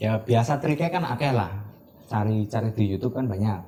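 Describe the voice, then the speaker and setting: At a fairly slow pace, a somewhat breathy voice with a dark, mellow tone moves through lively intonation. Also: man. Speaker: printing business owner, CEO. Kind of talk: interview answer.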